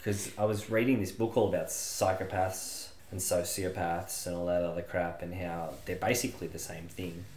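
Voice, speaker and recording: The speech comes at a moderate pace with hardly any pauses and fairly even intonation, amid noticeable background noise and audible room echo. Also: man, very deep, low pitch for a man. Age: 30s. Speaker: podcast co-host. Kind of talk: casual comedic chat.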